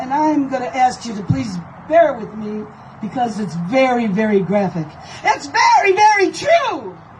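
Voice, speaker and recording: Noticeable background noise sits behind a woman with a high pitch. She moves at a moderate pace, her pitch swinging very widely. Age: 70s. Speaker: paralegal private investigator. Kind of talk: public speech to crowd. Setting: outdoors.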